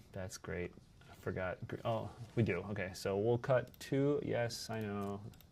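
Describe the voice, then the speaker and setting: Using a normal speaking voice, a man talks at a fairly slow pace with fairly low pitch and fairly even intonation. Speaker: video game streamer. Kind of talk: live game stream commentary. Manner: casual, chatty.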